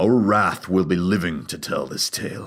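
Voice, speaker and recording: Growling in a put-on character voice, a man speaks at a very deep, low pitch. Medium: read story. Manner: gruff, wry.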